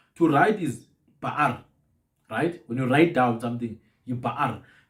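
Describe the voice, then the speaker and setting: The speaker goes at a moderate pace with ordinary pitch variation. The voice is somewhat breathy. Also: man. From southern Africa. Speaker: podcast host on African languages. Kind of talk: casual chat. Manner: repetitive stammering restarts.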